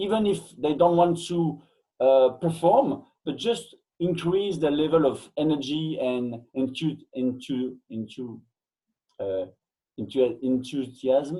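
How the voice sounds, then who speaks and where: A man with a French accent and a fairly high but dark, mellow tone speaks very slowly with lively intonation. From Belgium. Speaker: fitness coach and educator. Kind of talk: interview. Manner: halting, frequent hesitations.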